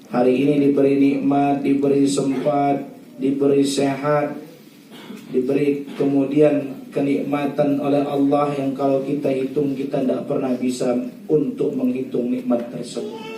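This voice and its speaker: At a fairly slow pace, a man talks with a fairly high pitch and fairly even intonation, amid audible room echo and noticeable background noise. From North Sumatra, Indonesia (Batak region). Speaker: Islamic preacher. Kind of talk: religious wedding sermon.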